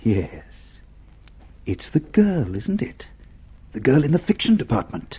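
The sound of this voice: A man puts on a character voice with a dark, mellow tone and a husky, rough edge. He talks slowly, his pitch swinging very widely. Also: medium pitch for a man.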